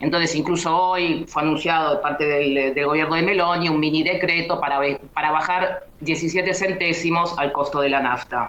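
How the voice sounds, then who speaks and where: Noticeable background noise sits under the talking. It keeps a moderate pace and hardly any pauses. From Buenos Aires, Argentina. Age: 30s. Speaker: political commentator. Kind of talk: radio interview. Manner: halting.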